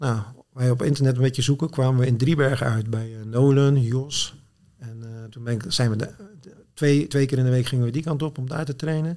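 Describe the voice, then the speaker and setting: A man's dark, mellow voice at medium pitch, fairly quick in pace, with fairly even intonation. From Netherlands, Zwijndrecht (South Holland). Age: 40s. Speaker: CrossFit athlete and competition programmer.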